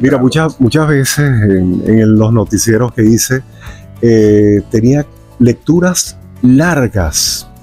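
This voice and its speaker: A man with a medium pitch speaks at a very slow pace, his intonation lively. Music plays in the background. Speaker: news anchor and announcer. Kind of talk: interview answer.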